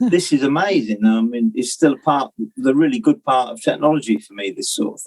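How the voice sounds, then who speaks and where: A man with a Northamptonshire accent, fairly high in pitch, at a fairly quick pace, with very wide pitch swings and big swings in loudness. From Northamptonshire, England. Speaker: musician. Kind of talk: casual interview chat.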